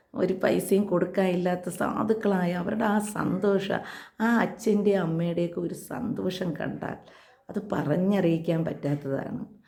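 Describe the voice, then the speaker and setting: A medium-pitched woman with fairly even intonation, amid noticeable background noise and audible room echo. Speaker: ASHA health worker and vlogger. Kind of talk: personal vlog appeal.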